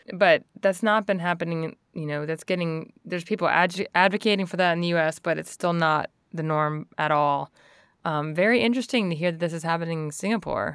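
A woman with an American accent and a plain, everyday voice, ordinary pitch variation, on a very clean recording with a silent background. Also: fairly low pitch for a woman, fairly quick pace. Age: 40s. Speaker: podcast host. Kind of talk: interview.

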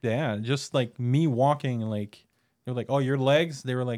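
Here a man uses a normal speaking voice of medium pitch, moving at a moderate pace with fairly even intonation. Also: very clean recording, silent background. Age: 40s. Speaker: returning podcast guest. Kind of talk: casual chat.

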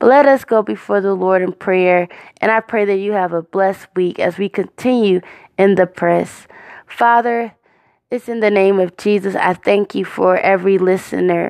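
Here a woman speaks in a plain, everyday voice at a medium pitch with fairly even intonation and a moderate pace. The sound is dry and close with no echo, over a quiet background. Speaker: podcast host and prayer leader. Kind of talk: fervent prayer. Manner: earnest, heartfelt, devout; warm, encouraging.

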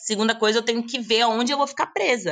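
Against a quiet background, a woman talks at a fairly quick pace with a bright, sharp tone. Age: 20s. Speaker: digital nomad and content creator. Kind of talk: casual interview chat.

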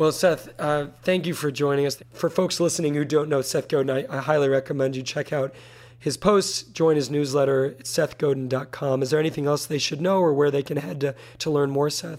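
Talking at a fairly quick pace, a man with an unremarkable speaking voice keeps a fairly high pitch and fairly even intonation. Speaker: interviewer. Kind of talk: interview conversation.

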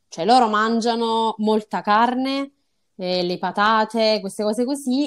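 A woman with a plain, everyday voice speaks at a fairly slow pace and fairly high pitch with lively intonation on a very clean recording with a silent background. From southern Italy, Salerno. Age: 20s. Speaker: medical student on Erasmus. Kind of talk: interview.

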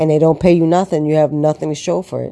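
The voice has a dark, mellow tone and a flat, monotone intonation. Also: woman. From Puerto Rican heritage. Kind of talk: personal monologue, testimony. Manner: halting, many fillers and repetitions.

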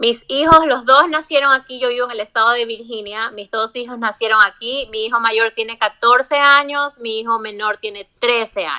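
A woman with an unremarkable speaking voice talks at a moderate pace with hardly any pauses, her fairly high pitch showing ordinary variation while her loudness swings widely. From Ecuador, Guayaquil (coastal). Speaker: migrant interviewee. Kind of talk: interview.

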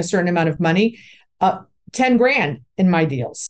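A woman speaks at a moderate pace with a medium pitch, in an ordinary speaking voice. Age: 60s. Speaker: commercial real estate broker and investor. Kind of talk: interview.

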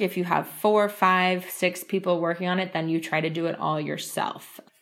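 The recording is very clean, with a silent background. A woman with a New York accent speaks at a moderate pace. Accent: New York American. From US, New York. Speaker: trainer. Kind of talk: casual interview.

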